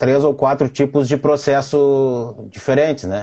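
Fairly slow speech from a man at a medium pitch. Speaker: lawyer hosting livestream interviews. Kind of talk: casual livestream interview. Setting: home office livestream.

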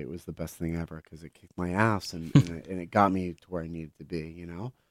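A man with an American accent, very deep and low in pitch, at a fairly quick pace with fairly even intonation, on a very clean recording against a silent background. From Pittsburgh, Pennsylvania, with teen years in Israel. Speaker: chef and restaurateur. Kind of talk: casual interview.

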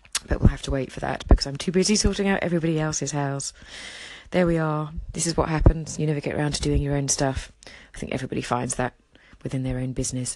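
A woman with a southern English accent speaks at a very fast pace in a very deep, low pitch, with ordinary pitch variation and long, frequent pauses. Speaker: interior designer and audio diary broadcaster. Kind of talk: casual audio diary monologue. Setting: outdoors walking and commuting. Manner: fast talker.

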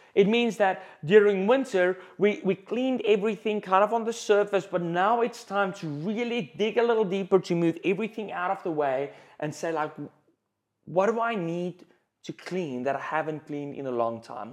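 A man with a South African accent speaks at a high pitch and moderate pace with lively intonation, against a quiet background. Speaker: pastor. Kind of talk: sermon. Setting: church.

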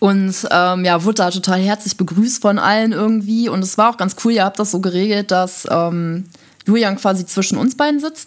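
A woman with an ordinary speaking voice talks at a moderate pace in a medium pitch with ordinary pitch variation. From Germany, Düsseldorf. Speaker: podcast co-host. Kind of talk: casual chat.

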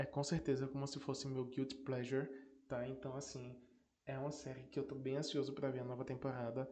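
A man's somewhat breathy, medium-pitched voice with a dark, mellow tone and monotone, flat intonation, at a fairly quick pace amid audible room echo. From Northeast Brazil. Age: 20s. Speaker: podcast host. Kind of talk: casual solo podcast talk.

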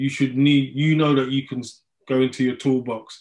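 A man is speaking here. He has a London accent. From London, Hackney. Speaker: mindfulness teacher. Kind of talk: interview.

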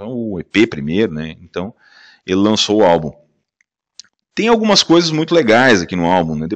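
A man with a fairly low pitch talks at a moderate pace, his pitch swinging very widely, with long, frequent pauses. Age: 40s. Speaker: podcast host. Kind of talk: casual monologue. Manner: animated.

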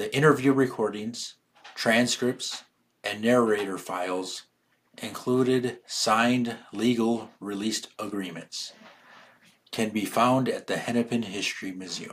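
A man with a plain, everyday voice at a medium pitch, fairly even intonation and a fairly slow pace. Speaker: podcast narrator. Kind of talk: scripted narration.

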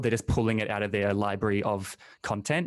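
Against a quiet background, a man talks with a New Zealand accent. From New Zealand, small town. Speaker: podcast host. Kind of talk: interview.

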